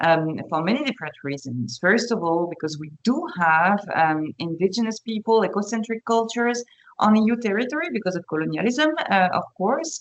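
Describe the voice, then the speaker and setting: Speaking with a French accent, a woman of medium pitch talks at a moderate pace with hardly any pauses and very wide pitch swings. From France. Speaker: panelist. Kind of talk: webinar panel talk. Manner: halting, many fillers.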